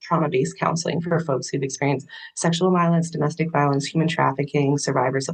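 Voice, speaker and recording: Very fast and somewhat breathy, a woman with an American accent talks with a very deep, low pitch and fairly even intonation. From Pennsylvania, Camp Hill near Harrisburg. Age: 30s. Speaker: clinical social worker. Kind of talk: interview. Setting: home office. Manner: calm.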